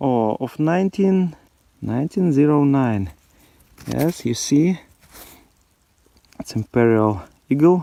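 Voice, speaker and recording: With a dry, close sound and no echo, the voice has a dark, mellow tone and lively intonation. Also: man. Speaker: metal detecting video host. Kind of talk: casual outdoor commentary while detecting. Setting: outdoors in snowy forest. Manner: animated, exclamatory.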